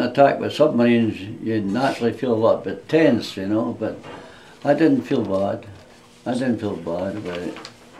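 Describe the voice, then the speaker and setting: A man talks at a moderate pace and medium pitch. Audible room echo and noticeable background noise are present. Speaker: war veteran. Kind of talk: interview. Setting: indoors, residence room. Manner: halting.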